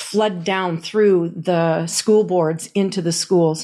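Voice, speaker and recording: In a quiet background, a woman speaks at medium pitch with ordinary pitch variation. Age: 60s. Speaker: activist chapter leader and music teacher. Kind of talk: personal testimony.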